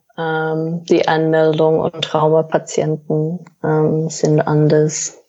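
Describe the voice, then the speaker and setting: A woman speaks with a very deep, low pitch. Her pace is very slow. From Australia. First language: English (speaking German). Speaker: paramedic. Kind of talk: interview. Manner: halting, many fillers.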